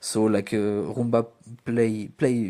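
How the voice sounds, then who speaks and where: In a French accent, a man speaks in a monotone at a fairly low pitch with a dark, mellow tone, on a very clean recording with a silent background. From France. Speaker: student. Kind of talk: student podcast presentation. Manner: halting; hesitant with fillers.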